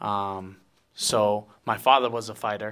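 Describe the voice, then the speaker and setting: Speaking with a Hawaiian accent, a man uses a fairly low pitch and a bright, sharp tone in a monotone, flat delivery. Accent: Hawaiian American English. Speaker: professional fighter. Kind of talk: interview. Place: meeting room. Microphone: handheld.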